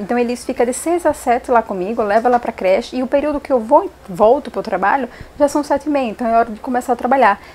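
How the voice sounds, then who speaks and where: Speaking very fast, a woman uses a high pitch with ordinary pitch variation. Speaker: book vlogger. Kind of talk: casual vlog monologue.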